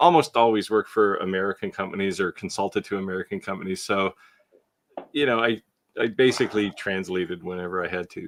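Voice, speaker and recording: A man's very fast delivery with ordinary pitch variation. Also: fairly low pitch for a man, dry, close sound with no echo. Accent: Canadian. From Canada. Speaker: co-host of a woodworking live show. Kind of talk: casual chat. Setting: live stream.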